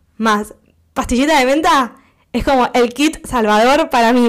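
A woman with a Rioplatense accent speaks in an animated tone with ordinary pitch variation on a very clean recording with a silent background. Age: 20s. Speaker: podcast host. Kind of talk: casual monologue.

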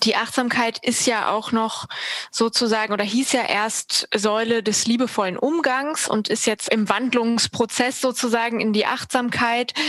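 Delivered at a fairly slow pace, this unremarkable speaking voice holds very even loudness and fairly even intonation. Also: woman, fairly high pitch for a woman. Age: 30s. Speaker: party board member. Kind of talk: interview.

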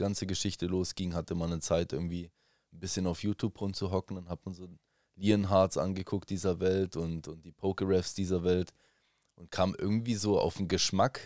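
A man speaks with a very deep, low pitch and monotone, flat intonation, his loudness swinging widely. The recording is very clean, with a silent background and a dry, close sound without echo. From Germany. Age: 30s. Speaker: Pokémon card collector and streamer. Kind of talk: casual chat.

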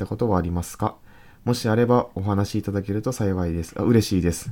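Recorded very cleanly against a silent background, a man with a Kansai accent talks fairly quickly in a dark, mellow tone with ordinary pitch variation. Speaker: podcast co-host. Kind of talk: casual chat. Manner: reads listener letters aloud.

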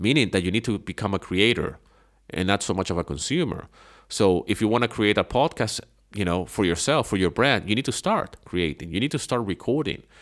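Speaking at a fairly quick pace with a non-native accent, a man uses lively intonation at a fairly low pitch, his loudness very even in a very clean recording with a silent background. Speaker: podcast host and online business coach. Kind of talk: solo podcast talk giving advice. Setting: home living room. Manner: casual, many fillers and repetitions.

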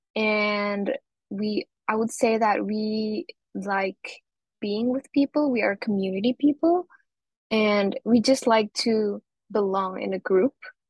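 A woman's fairly high, somewhat breathy voice at a very slow pace. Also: ordinary pitch variation. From Indonesia (Surabaya, East Java). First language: Indonesian and Javanese. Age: 20s. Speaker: university student. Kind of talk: casual interview chat.

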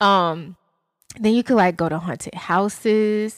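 Recorded very cleanly against a silent background. The speaker has an Atlanta accent and talks at a fairly slow pace. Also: woman. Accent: Southern US, Atlanta. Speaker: podcast co-host. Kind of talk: casual chat, podcast banter.

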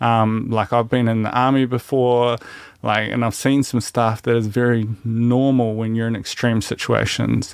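A man with a New Zealand accent speaks at a medium pitch and a moderate pace in a flat monotone, recorded very cleanly against total silence. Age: 30s. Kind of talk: casual chat.

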